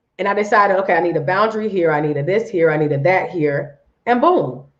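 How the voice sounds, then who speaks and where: A woman speaks at a very fast pace. Her tone is animated. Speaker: life coach. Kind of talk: live stream coaching talk.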